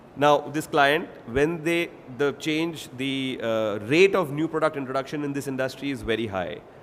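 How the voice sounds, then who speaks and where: Speaking at a moderate pace with an Indian accent, a man uses a fairly high pitch and ordinary pitch variation. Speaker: industry expert panelist. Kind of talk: panel presentation.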